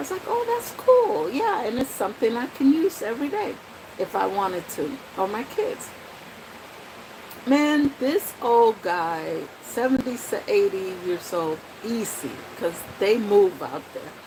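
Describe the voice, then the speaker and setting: An animated woman with an American accent talks at a fairly slow pace with long, frequent pauses, her fairly high pitch swinging very widely. Noticeable background noise is present. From Dominican Republic, then New York City. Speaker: vlogger. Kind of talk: casual vlog talk. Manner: slow talker.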